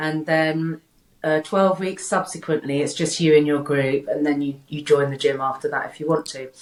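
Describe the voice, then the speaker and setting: A woman speaks at a very deep, low pitch. Her loudness swings widely. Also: fairly even intonation, moderate pace. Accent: British. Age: 60s. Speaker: health coach. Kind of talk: casual interview chat. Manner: halting, many repeated words.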